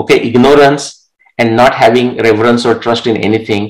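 A man speaks with a Marathi accent. His pitch sits in the medium range. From India, Marathi-speaking village. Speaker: author and researcher. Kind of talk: interview.

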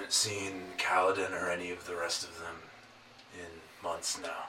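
In a put-on character voice, a man talks at a moderate pace with a gravelly, very deep, low pitch over clear background noise.

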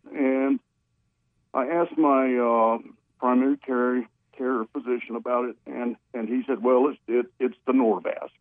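Delivered at a fairly slow pace with fairly even intonation, this is an unremarkable speaking voice. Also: man, medium pitch for a man. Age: 60s. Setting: phone call.

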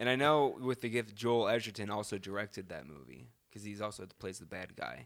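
A man speaks with lively intonation and vocal fry. His loudness swings widely. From US South (Charleston, South Carolina). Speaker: podcast co-host. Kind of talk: casual chat. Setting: studio.

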